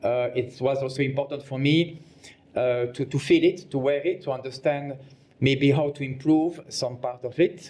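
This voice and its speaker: A man with a French accent speaks at a moderate pace and a fairly high pitch. His tone is dark and mellow, and somewhat breathy. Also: fairly even intonation. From Belgium. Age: 50s. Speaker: fashion designer. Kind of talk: interview. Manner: halting.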